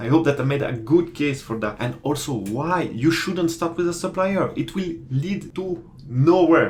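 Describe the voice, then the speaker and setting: With lively intonation and a moderate pace, a man talks in a somewhat breathy voice. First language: not English. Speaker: commodity trader and online course creator. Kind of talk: tutorial. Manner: casual, hesitant with many fillers.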